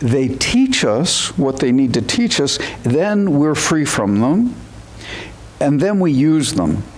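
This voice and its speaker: A man's fairly high voice at a very slow pace, with very wide pitch swings, audible room echo and noticeable background noise. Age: 70s. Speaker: zen teacher. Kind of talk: dharma talk. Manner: halting.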